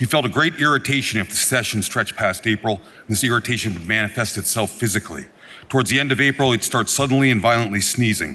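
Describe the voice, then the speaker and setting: A man's medium-pitched voice, bright and sharp in tone, with ordinary pitch variation and a very fast pace. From Vermont (Norwich). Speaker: state legislator. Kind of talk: floor speech. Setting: legislative chamber.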